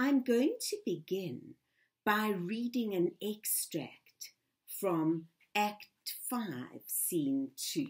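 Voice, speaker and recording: Somewhat breathy, a woman speaks at a very slow pace with very wide pitch swings. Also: medium pitch for a woman. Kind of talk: lecture / talk to camera.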